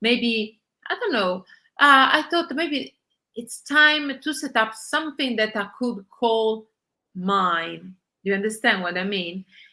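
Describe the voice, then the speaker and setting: A woman talks with an Italian accent at a fairly high pitch. Her pace is very slow. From Italy. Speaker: journalist and online magazine founder. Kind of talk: interview. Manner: halting, many filler sounds.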